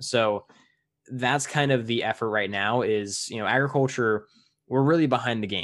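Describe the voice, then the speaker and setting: Moderate pace from a man with an American accent, an unremarkable speaking voice at medium pitch with ordinary pitch variation, against a quiet background. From US. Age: 20s. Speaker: podcast host. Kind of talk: casual interview.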